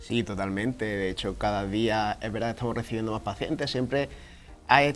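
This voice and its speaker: Over background music, a man with a fairly low pitch and fairly even intonation speaks at a fairly quick pace. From southern Spain, Fuengirola (Málaga). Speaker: podiatrist. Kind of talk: TV interview.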